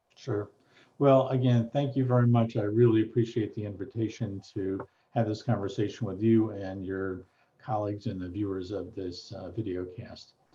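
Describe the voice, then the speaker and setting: The man's voice is somewhat breathy and fairly low in pitch, with fairly even intonation. He keeps a moderate pace, with big swings in loudness. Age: 60s. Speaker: retired law professor and mediator. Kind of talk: interview conversation.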